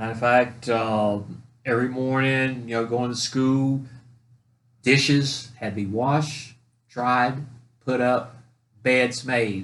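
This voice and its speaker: A man speaks very slowly with an American accent, his intonation monotone and flat. Long pauses come often. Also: medium pitch for a man. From North Carolina. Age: 60s. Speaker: podcast co-host telling family stories. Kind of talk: casual chat, storytelling.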